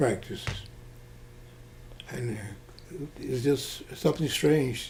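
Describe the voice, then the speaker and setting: Noticeable background noise accompanies a man with an American accent, speaking at a very slow pace with medium pitch and fairly even intonation. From Mississippi. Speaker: retired Air Force officer. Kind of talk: oral history interview answer.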